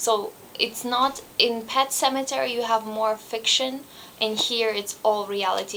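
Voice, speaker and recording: Against noticeable background noise, a woman with a non-native accent speaks at a fairly high pitch with fairly even intonation. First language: not English. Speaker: booktuber. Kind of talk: book review vlog. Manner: halting.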